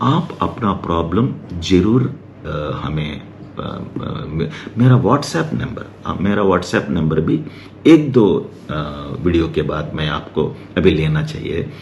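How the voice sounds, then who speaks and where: Through audible room echo and noticeable background noise, a man with a very deep, low pitch speaks in very wide pitch swings. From Hyderabad, India. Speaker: doctor. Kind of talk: casual talk to camera. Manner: halting, many fillers.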